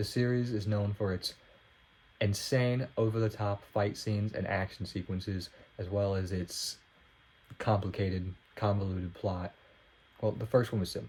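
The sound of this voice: This man's low, nasal voice has vocal fry and little pitch movement. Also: slightly mellow tone.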